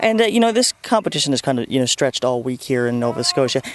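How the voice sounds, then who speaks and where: Amid noticeable background noise, a man speaks very fast at medium pitch with lively intonation, in a dry, close sound with no echo. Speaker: news reporter. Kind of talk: TV news report.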